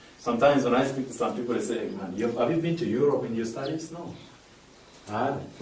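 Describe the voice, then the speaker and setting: A man speaks with noticeable background noise. Audible room echo surrounds his voice. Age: 20s. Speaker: motivational speaker. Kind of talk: audience Q&A; inspirational talk.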